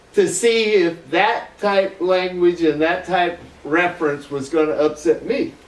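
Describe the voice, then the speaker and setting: At a fairly slow pace, an American accent comes through with ordinary pitch variation and noticeable background noise. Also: man, high pitch for a man. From US South, Florida. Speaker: internet dancer. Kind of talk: casual interview chat.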